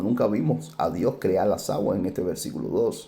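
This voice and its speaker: Soft-spoken and fairly low-pitched, a man talks at a fairly slow pace with ordinary pitch variation. His tone is dark and mellow, and room echo is audible. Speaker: Bible teacher. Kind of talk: Bible study lecture. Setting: at home, family table.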